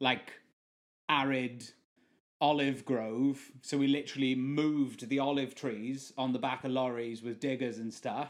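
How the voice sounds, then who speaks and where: In a South Welsh accent, a man talks at a fairly slow pace. His medium pitch stays monotone, with flat intonation. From South Wales. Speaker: session musician and permaculture gardener. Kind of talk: casual chat.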